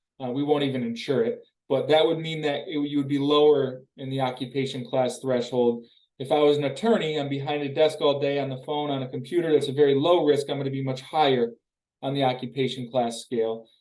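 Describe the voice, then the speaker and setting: Fairly high male voice at a fairly quick pace with fairly even intonation. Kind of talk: educational webinar presentation. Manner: fast.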